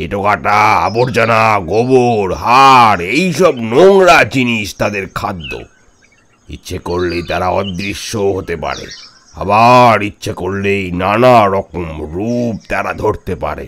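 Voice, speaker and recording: This man puts on a character voice at a fairly low pitch. He speaks at a very slow pace. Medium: audio drama. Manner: chatty, keeps asking "understand?".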